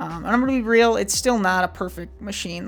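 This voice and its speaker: A woman talking at a very fast pace. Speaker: YouTuber. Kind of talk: casual vlog monologue. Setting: home webcam recording. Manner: rambling, halting.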